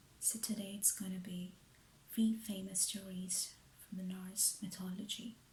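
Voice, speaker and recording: Quiet and soothing in tone, a man speaks at high pitch and a fairly slow pace with monotone, flat intonation. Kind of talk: ASMR bedtime story narration. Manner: hushed, soothing, relaxing.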